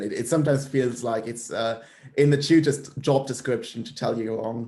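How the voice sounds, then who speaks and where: A man's dark, mellow voice at medium pitch, fairly quick in pace, with fairly even intonation and big swings in loudness. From Germany. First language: German. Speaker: university student. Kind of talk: conversational interview. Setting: video call.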